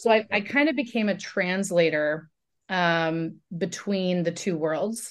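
An ordinary speaking voice from a woman with a General American accent, at a fairly slow pace with ordinary pitch variation, against a quiet background. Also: medium pitch for a woman. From Oregon, US Pacific Northwest. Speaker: media company founder and CEO. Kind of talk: interview.

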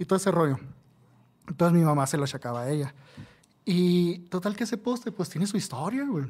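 A man with a Mexican accent speaks in a high voice with lively intonation at a fairly quick pace, broken by long, frequent pauses. The recording is very clean, with a silent background. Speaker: tattoo artist. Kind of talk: casual chat.

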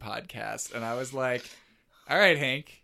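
A man speaks with a bright, sharp tone. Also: very clean recording, silent background. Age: 20s. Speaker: podcast host. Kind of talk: casual chat. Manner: halting.

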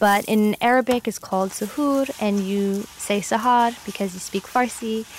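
With an American accent, a plain, everyday voice speaks with fairly even intonation and hardly any pauses. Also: woman, fairly high pitch for a woman, moderate pace. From US, New York City. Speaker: astronomer. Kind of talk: interview.

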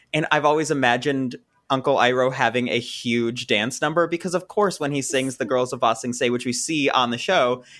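In a plain, everyday voice, a man talks at a fairly quick pace with a medium pitch and ordinary pitch variation. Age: 20s. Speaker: content creator and composer. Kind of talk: casual podcast interview.

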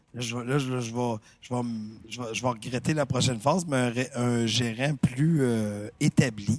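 Here a man with a Quebec accent speaks at medium pitch with ordinary pitch variation. His pace is moderate. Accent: Québécois French. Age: 50s. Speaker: talent manager. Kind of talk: casual chat.

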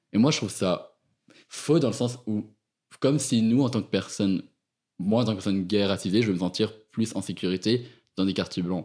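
This man has a fairly low pitch and ordinary pitch variation. The recording is very clean, with total silence behind him. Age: 20s. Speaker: university student. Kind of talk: interview. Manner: halting.

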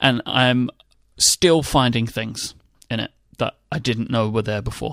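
A man with a London accent, medium in pitch, speaking at a fairly slow pace with fairly even intonation and a dry, close sound with no echo. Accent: southern English (London). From England. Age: 20s. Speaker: podcast host. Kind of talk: casual chat.

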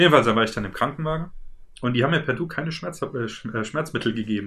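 Here a man talks at a moderate pace in a bright, sharp tone with ordinary pitch variation. The recording is very clean, with a silent background. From Germany, Worms. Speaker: podcast co-host. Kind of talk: casual chat.

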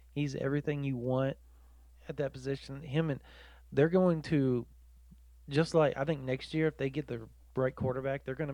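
A man speaks fairly quickly at a medium pitch. His intonation stays fairly even against a quiet background. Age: 30s. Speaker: sports podcast co-host and reporter. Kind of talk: casual chat.

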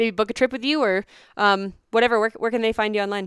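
In an American accent, a woman talks in an ordinary speaking voice, fairly high in pitch with ordinary pitch variation, and the sound is dry and close with no echo on a very clean recording with a silent background. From Pennsylvania. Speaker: podcast host. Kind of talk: interview.

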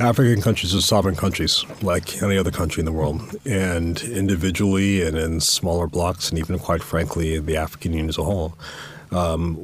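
A man with an American accent speaks at a moderate pace in a very deep, low, somewhat breathy voice with fairly even intonation. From US South, Jacksonville, Florida. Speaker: university dean and former ambassador. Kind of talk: interview.

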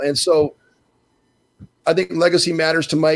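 A man talks at a moderate pace with a fairly high pitch in a plain, everyday voice. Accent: American. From Minnesota. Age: 60s. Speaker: basketball broadcaster and former NBA player. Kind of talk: casual chat.

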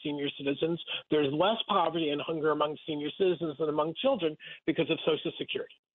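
This man speaks with an American accent at a very fast pace. His pitch is fairly high. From Rockland County, New York, US. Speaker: anti-hunger nonprofit CEO. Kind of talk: radio interview. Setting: radio broadcast.

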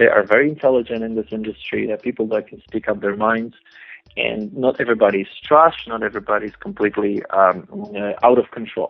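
Here a man speaks at a fairly quick pace. His voice has a medium pitch. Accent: Polish. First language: Polish. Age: 20s. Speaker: adult film performer. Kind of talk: interview. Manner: halting.

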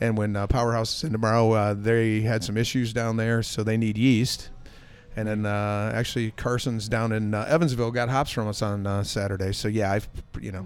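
A man speaks in a fairly low pitch with an American accent. His intonation is monotone and flat, with audible room echo around him. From Michigan, US Midwest. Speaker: brewer. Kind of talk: casual chat. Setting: pub.

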